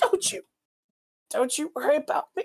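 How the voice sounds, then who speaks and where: A put-on character voice at a high pitch. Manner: weak, dying.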